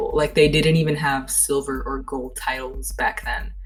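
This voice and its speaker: Background music accompanies the speech. A woman talks at a moderate pace. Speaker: podcast host. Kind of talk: casual podcast talk.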